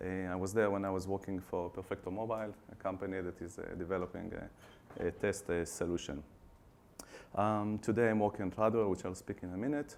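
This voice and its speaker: Fairly quick and fairly even in intonation, the speech comes in an Israeli accent. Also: man. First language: Hebrew. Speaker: customer success team manager. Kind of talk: conference presentation. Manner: hesitant, many fillers.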